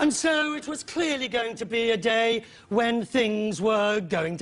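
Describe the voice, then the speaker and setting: Putting on a sing-song character voice at an extremely high pitch, a man speaks at a fairly slow pace over light background noise. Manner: sing-song presenter cadence, falling at sentence end.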